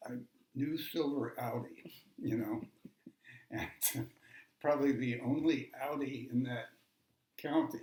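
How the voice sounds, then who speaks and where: Somewhat breathy and fairly high-pitched, a man speaks very slowly with fairly even intonation and long, frequent pauses. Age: 80s+. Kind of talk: family storytelling interview.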